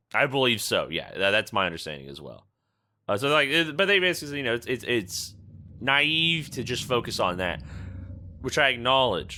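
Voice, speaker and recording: The voice has a bright, sharp tone with vocal fry and very wide pitch swings. It moves at a moderate pace. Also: man, medium pitch for a man. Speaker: podcast host. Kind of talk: casual podcast conversation.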